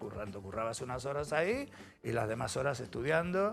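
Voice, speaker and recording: With an Andalusian accent, a man at medium pitch speaks in very wide pitch swings over music in the background. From Andalusia, Spain (Cádiz). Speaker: musician, former band drummer and music producer. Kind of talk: interview. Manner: animated.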